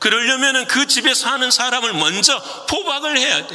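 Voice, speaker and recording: An extremely high-pitched man's raised, projected voice at a moderate pace, with noticeable background noise. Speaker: pastor. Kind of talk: sermon. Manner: speeds up when animated.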